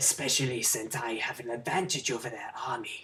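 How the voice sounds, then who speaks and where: A put-on character voice, pitched low to middle, moves at a fairly quick pace over light background noise. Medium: solo performance. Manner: formal, measured.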